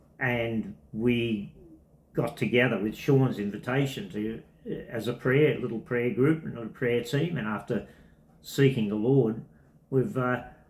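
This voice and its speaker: This is a man with a medium pitch and a somewhat breathy voice. He talks at a fairly slow pace. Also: ordinary pitch variation. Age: 70s. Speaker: semi-retired tennis coach. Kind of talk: testimony interview.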